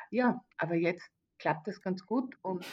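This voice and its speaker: A somewhat breathy woman's voice at medium pitch and a fairly slow pace. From Austria, Carinthia. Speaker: event manager. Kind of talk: interview. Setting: video call. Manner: halting.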